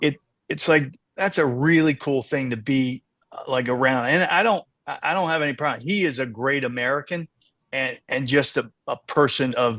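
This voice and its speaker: A man with a bright, sharp tone speaks at a fairly high pitch with ordinary pitch variation. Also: moderate pace, dry, close sound with no echo. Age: 60s. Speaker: racehorse owner. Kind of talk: podcast interview. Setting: podcast. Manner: halting, many fillers and repeats.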